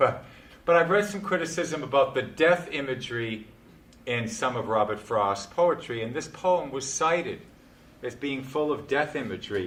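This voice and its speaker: There is audible room echo as a man with a fairly high voice talks at a moderate pace with lively intonation. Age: 60s. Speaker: poetry speaker leading a discussion. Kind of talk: talk on poetry with group discussion. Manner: animated.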